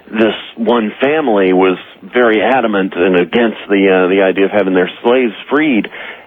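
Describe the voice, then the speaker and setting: Noticeable background noise sits behind a man whose fairly low pitch varies in an ordinary way. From Alabama. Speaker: caller. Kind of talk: phone-in story. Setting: phone call.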